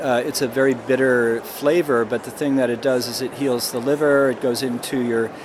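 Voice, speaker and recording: Moderate pace and monotone, flat intonation, with noticeable background noise. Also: man. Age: 60s. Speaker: botanist. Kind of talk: interview. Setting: expo floor. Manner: halting.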